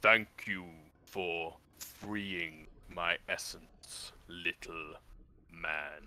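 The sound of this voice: Putting on a character voice, a man rumbles very slowly at a very deep, low pitch, with long, frequent pauses.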